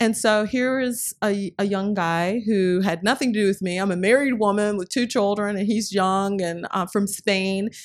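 A woman with an American accent, a normal speaking voice, speaks at medium pitch and a moderate pace with hardly any pauses. Her intonation is fairly even, and the recording is very clean with a silent background. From North Carolina, US South. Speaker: nonprofit executive director. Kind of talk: interview.

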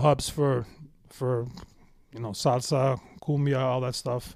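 At a moderate pace, a man is heard on a very clean recording with a silent background. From Toronto, Canada. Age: 40s. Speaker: DJ and music producer. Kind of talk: casual interview chat.

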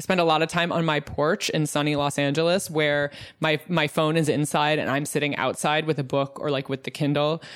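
Her pitch very deep and low, a woman speaks at a very fast pace. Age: 30s. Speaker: journalist and podcaster. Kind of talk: casual interview.

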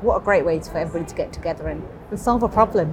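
Lively intonation from a medium-pitched woman, with noticeable background noise throughout. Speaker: bank innovation executive. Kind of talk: interview. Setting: live event venue.

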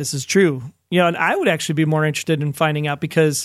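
A man talks at a fairly quick pace and a fairly high pitch with fairly even intonation, in an unremarkable speaking voice. The recording is very clean with a silent background. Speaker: podcast co-host. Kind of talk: casual podcast discussion.

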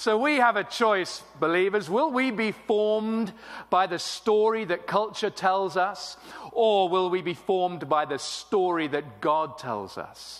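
With an English accent, a man speaks at a fairly slow pace, his pitch high and his intonation lively. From England. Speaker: pastor. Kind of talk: sermon. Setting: church with congregation.

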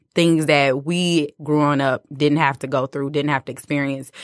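In a very clean recording with a silent background and a dry, close sound with no echo, a woman speaks at a moderate pace with a very deep, low pitch and fairly even intonation. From Detroit, Michigan, US. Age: 30s. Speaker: educator. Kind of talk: interview.

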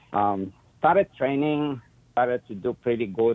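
A man in an Eastern European accent, at a fairly slow pace. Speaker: dog trainer and breeder. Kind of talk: casual interview.

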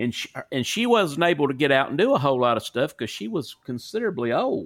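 Talking at a fairly quick pace, a man with a Southern US accent uses an animated tone at a fairly high pitch. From US South. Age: 40s. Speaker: podcast host. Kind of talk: casual chat. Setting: remote call.

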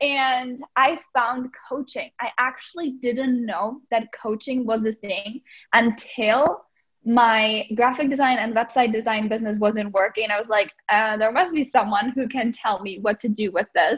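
Speaking at a fairly slow pace, a woman with a fairly high pitch talks with a slight Czech accent. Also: ordinary pitch variation. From Czech Republic. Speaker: life and business coach. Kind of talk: podcast interview.

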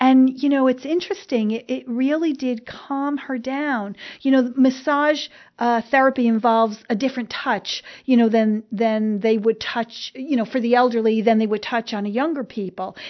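Speaking with a New Jersey accent, a woman with a high pitch keeps a moderate pace. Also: ordinary pitch variation. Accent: New Jersey, noticeable. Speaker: elder care expert and podcast host. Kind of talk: casual chat, podcast monologue. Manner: chatty, hesitant with many fillers.

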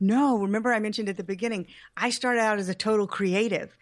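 The talking goes at a fairly quick pace. Behind it, the background stays quiet. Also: woman. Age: 50s. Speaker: entrepreneur and web development teacher. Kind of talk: casual chat.

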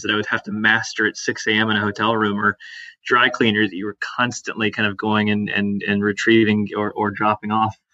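With an American accent, this speaker moves along fairly quickly. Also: man. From US South, suburbs of Atlanta, Georgia. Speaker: startup founder and CEO. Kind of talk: podcast interview. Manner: many filler words and repetitions.

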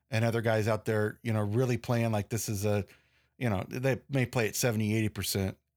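Speech comes at a fairly quick pace in a very clean recording with a silent background. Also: man. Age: 40s. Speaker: sports podcast host. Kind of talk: solo sports commentary podcast. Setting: studio.

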